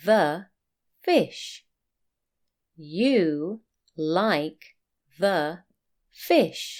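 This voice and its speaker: With a British accent and lively intonation, a woman speaks at a medium pitch and a very slow pace, taking long, frequent pauses. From UK. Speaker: teacher. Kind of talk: reading aloud. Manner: clear.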